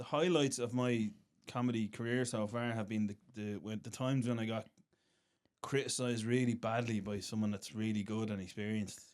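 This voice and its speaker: A man's medium-pitched voice with an Irish accent and fairly even intonation. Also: fairly quick pace. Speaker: stand-up comedian. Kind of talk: casual chat.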